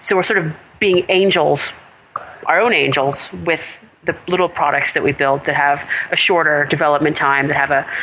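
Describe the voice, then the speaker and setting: Over noticeable background noise, a woman with a very deep, low pitch and ordinary pitch variation speaks at a moderate pace. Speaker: software entrepreneur and designer. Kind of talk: interview. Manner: animated, laughs often.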